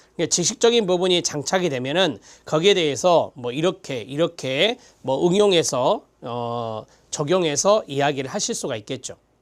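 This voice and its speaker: Set against a very clean recording and silent background, a man with a plain, everyday voice speaks at a moderate pace. His pitch is fairly high and his intonation lively. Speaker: lecturer. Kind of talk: lecture.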